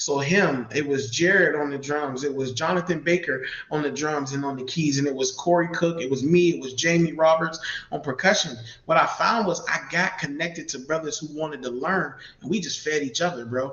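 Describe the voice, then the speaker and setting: The talking moves at a fairly quick pace with ordinary pitch variation, against noticeable background noise. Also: man. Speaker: community mentor and church musician. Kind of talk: live interview. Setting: live video stream.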